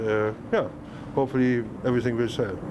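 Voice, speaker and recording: Noticeable background noise sits behind a man who speaks at a moderate pace with a medium pitch. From Germany, Hamburg. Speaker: market vendor, woodworker. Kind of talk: interview. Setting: outdoors.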